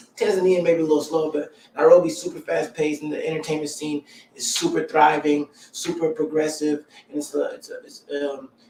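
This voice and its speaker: Noticeable background noise accompanies a man with an American accent and a fairly high pitch, who talks at a fairly quick pace with fairly even intonation and big swings in loudness. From US South, Columbia, South Carolina. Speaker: musician and entertainer. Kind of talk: interview. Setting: live stream.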